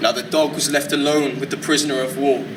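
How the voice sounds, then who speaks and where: Amid noticeable background noise, a man speaks in a raised, projected voice. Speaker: spoken word poet. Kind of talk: spoken word poetry performance. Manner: occasional stutters.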